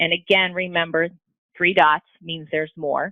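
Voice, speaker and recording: Speaking at a moderate pace, this woman has an ordinary speaking voice pitched fairly low. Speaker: math software presenter. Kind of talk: tutorial. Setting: webinar.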